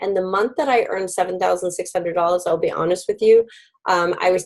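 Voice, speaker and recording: This is a woman speaking. Her pitch is medium. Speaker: direct sales team director and trainer. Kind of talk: online training presentation. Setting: video call with screen share. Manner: fast.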